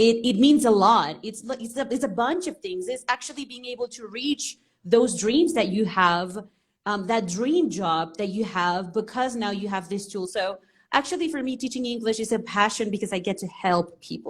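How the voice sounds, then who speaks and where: Speaking at a moderate pace with a Spanish accent, a woman sounds somewhat breathy, her fairly high voice carrying lively intonation. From Venezuela. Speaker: English teacher. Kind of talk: interview on a live stream.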